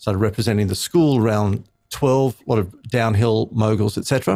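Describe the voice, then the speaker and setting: On a very clean recording with a silent background, a man with an Australian accent speaks at a moderate pace and a fairly low pitch with ordinary pitch variation. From Australia, Sydney. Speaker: speechwriter and communications trainer. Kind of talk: interview conversation.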